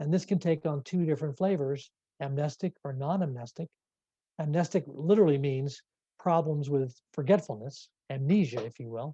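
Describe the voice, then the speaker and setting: A man's fairly high, somewhat breathy voice with a dark, mellow tone, ordinary pitch variation, big swings in loudness, a moderate pace and a dry, close sound with no echo. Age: 60s. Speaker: neurologist. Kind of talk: lecture.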